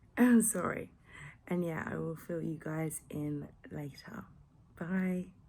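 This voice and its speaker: Speaking very slowly with long, frequent pauses, a woman with an English accent has a dark, mellow tone, fairly low pitch and ordinary pitch variation. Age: 20s. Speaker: vlogger. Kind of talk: casual vlog. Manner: hesitant, many ums.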